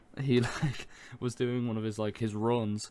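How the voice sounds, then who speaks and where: With an Irish accent, a man speaks at medium pitch in a dark, mellow tone and a monotone, flat intonation. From Ireland. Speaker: gaming podcast co-host. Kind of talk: casual chat.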